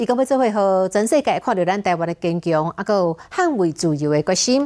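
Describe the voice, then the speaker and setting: A woman with a dark, mellow tone speaks at a moderate pace with very wide pitch swings, in a very clean recording with a silent background. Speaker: news anchor. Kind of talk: news reading. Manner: formal.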